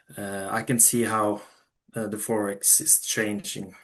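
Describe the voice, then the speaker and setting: A man at a moderate pace, fairly low in pitch, against a quiet background. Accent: Norwegian. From Norway. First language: Norwegian. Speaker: funded trader. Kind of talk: interview. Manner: halting, many fillers and restarts.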